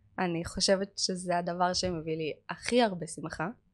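A woman's fairly low voice with fairly even intonation, in a very clean recording with a silent background. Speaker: manicurist and chemistry lecturer. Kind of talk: casual chat.

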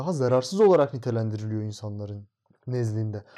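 A man's dark, mellow voice at a fairly quick pace over a quiet background. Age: 20s. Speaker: architecture student. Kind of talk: casual interview.

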